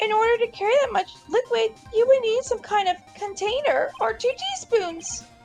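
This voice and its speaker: A put-on character voice moves at a moderate pace with ordinary pitch variation and hardly any pauses, as faint music plays in the background. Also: woman, extremely high pitch for a woman. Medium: game stream. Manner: polite, composed.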